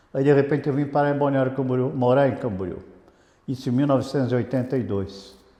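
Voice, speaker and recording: Against audible room echo, the speaker talks very fast with ordinary pitch variation. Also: man, medium pitch for a man. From Brazil, Santos (São Paulo state). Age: 70s. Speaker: radio broadcaster and sales director. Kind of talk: interview. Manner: conversational with hesitations.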